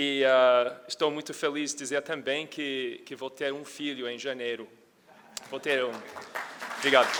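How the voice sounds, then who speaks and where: A fairly high-pitched man with an American accent, flat and monotone, at a fairly slow pace with long, frequent pauses, over crowd noise in the background. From United States. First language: English (speaking Portuguese). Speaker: energy research analyst, conference speaker. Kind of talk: conference presentation. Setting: stage with audience. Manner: halting, many fillers.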